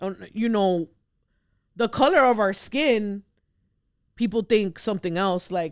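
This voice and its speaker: A woman with a Spanish accent speaks at a medium pitch with ordinary pitch variation, going fairly slowly with long, frequent pauses, on a very clean recording with a silent background. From US, Dominican immigrant family. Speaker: podcast host. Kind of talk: casual chat.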